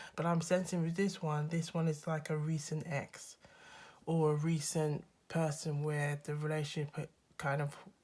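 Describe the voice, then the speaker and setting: A somewhat breathy woman with a very deep, low pitch speaks at a fairly slow pace. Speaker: tarot reader. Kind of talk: casual tarot reading to camera. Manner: friendly, upbeat.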